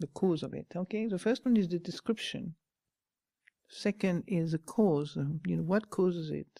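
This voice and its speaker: In a French accent, a woman with a dark, mellow tone speaks at a fairly slow pace with ordinary pitch variation over a dry, close sound with no echo. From France. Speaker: Buddhist nun, meditation teacher. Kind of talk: dharma talk.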